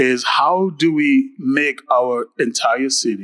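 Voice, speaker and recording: A man speaks in a fairly high pitch with lively intonation. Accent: Caribbean. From Caribbean, Antigua. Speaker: mayor / elected official. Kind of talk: panel talk at a town hall.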